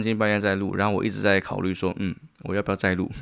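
The man's voice is very deep and low. The recording is very clean, with a silent background. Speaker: podcast host and church planter. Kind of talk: casual monologue.

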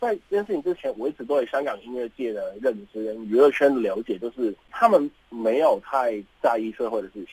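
An unremarkable speaking voice from a man at a fairly quick pace, lively intonation and big swings in loudness, in a dry, close sound with no echo. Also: medium pitch for a man. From Hong Kong. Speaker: graduate student. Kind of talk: radio interview. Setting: studio.

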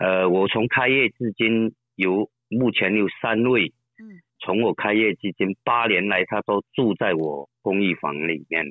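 A man with a fairly low pitch talks at a fairly slow pace, using ordinary pitch variation. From Fujian, Shishi/Quanzhou. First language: Southern Min (speaking Chinese). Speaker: apartment business owner. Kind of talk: interview. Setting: phone call.

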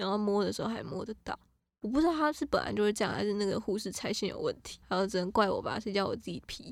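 A woman talks at a very fast pace with lively intonation and a medium pitch. Vocal fry shows up in her voice. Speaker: podcast co-host. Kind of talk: casual chat.

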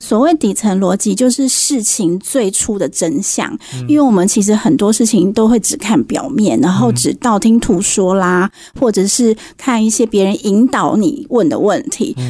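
A dark, mellow, somewhat breathy tone at a moderate pace, with very even loudness and lively intonation. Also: woman, fairly high pitch for a woman. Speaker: book editor. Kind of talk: radio interview. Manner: direct, frank.

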